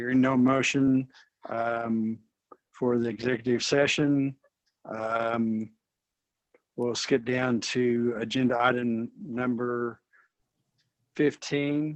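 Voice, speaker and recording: The delivery is very slow, with long, frequent pauses. Intonation stays monotone and flat. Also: man, medium pitch for a man. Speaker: board president chairing meeting. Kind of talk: formal board meeting proceedings. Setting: online video meeting. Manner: slow, dragging audio.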